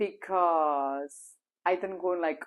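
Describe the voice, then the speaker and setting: The background stays quiet. Against it, a woman talks with a Spanish accent. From Spain. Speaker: language teacher. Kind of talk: casual vlog talk. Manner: loud.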